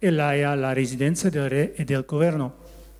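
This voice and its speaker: A man with a Dutch accent. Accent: Dutch accent in Italian. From Netherlands, West Friesland. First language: Dutch (speaking Italian). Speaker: churchgoer giving testimony. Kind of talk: testimony, reading a prepared text. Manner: halting.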